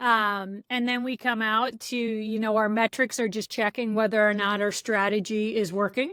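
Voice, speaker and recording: At a moderate pace and with hardly any pauses, a woman speaks in a bright, sharp tone with monotone, flat intonation, on a very clean recording with a silent background. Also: fairly high pitch for a woman. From US, San Francisco Bay Area. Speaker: product coach and trainer. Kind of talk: interview.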